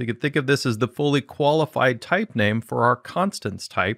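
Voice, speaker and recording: A normal speaking voice from a man at a moderate pace with ordinary pitch variation, on a very clean recording with a silent background and a dry, close sound with no echo. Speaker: programming instructor. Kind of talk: tutorial.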